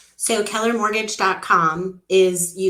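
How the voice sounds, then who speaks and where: Over noticeable background noise and audible room echo, a woman speaks at a medium pitch with monotone, flat intonation. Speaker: mortgage company executive. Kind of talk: interview.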